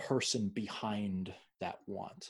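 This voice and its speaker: Pitch moves in an ordinary way in an unremarkable speaking voice. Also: man. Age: 30s. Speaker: podcast host, personal trainer. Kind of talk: interview conversation.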